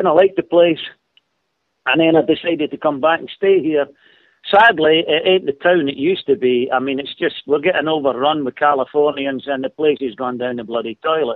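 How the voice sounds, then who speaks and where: Speaking with a Scottish accent, a man with a fairly high pitch talks at a fairly quick pace with ordinary pitch variation. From Scotland. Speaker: caller. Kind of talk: call-in radio chat.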